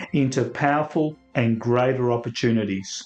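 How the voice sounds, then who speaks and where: Music plays in the background. The speech is fairly slow, with fairly even intonation. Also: man. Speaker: podcast host. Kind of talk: podcast intro.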